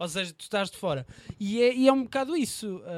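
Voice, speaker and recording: Recorded with a dry, close sound and no echo, a man talks at a fairly quick pace with ordinary pitch variation. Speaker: podcast host and news portal interviewer. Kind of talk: casual chat.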